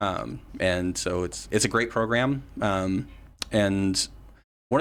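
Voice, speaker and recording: With an American accent, a man speaks in an ordinary speaking voice, fairly low in pitch with ordinary pitch variation. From West Virginia. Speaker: political candidate and activist. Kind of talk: casual interview.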